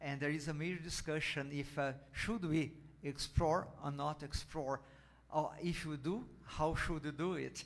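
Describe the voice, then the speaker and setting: In a room with audible echo, a man with a fairly high pitch speaks at a fairly slow pace and with fairly even intonation. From Brazil, Rio de Janeiro. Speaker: ambassador. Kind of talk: Q&A answer at a lecture.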